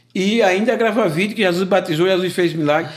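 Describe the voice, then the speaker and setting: A man with a high pitch talks at a moderate pace. The recording is very clean, with a silent background. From Alagoas, Brazil. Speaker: pastor. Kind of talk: casual interview, life testimony.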